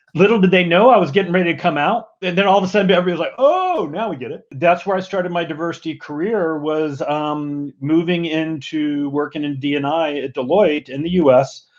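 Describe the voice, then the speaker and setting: A man's high-pitched voice with a strong Southern US accent, fairly quick with hardly any pauses and ordinary pitch variation. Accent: strong American Southern. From US South (Mississippi). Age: 50s. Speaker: diversity and inclusion executive. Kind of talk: podcast interview.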